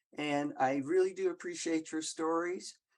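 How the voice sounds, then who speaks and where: A fairly slow woman's voice with a very deep, low pitch and an American accent. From US South. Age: 80s+. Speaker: audience member. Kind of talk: audience comment in Q&A. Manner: halting.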